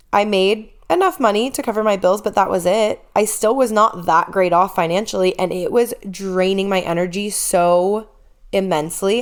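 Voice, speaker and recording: A woman uses a normal speaking voice at a medium pitch. She speaks at a moderate pace with fairly even intonation. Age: 30s. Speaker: podcast host and fitness coach. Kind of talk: personal podcast monologue. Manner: emotional, candid.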